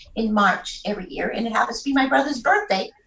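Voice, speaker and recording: Speaking with a New England accent, a woman uses a fairly high pitch and ordinary pitch variation. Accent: native Yankee. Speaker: jazz singer and pianist. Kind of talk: casual interview chat.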